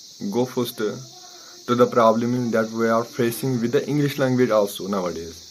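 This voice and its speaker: There is noticeable background noise behind a man talking at a medium pitch. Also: moderate pace. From Kashmir, India. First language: Kashmiri. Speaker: maths tutor and coaching centre administrator. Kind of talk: motivational talk to camera. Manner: halting.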